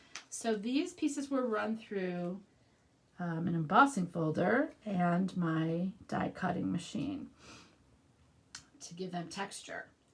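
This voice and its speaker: A woman with a Midwestern accent speaks very slowly at a medium pitch, leaving long, frequent pauses. Her intonation is lively, and there is noticeable background noise. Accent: Midwest US. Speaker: craft demonstrator. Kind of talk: live craft tutorial. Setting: livestream. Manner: casual, conversational.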